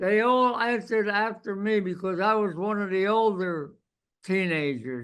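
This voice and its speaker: In a quiet background, a man with a high pitch uses a raised, projected voice, a bright, sharp tone, and lively intonation at a fairly slow pace. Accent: American. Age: 80s+. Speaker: war veteran. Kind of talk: oral history interview.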